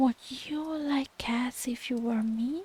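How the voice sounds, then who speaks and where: Shrill and slow-ish, a put-on character voice moves at a fairly slow pace. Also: woman, high pitch for a woman. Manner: passionate, angry.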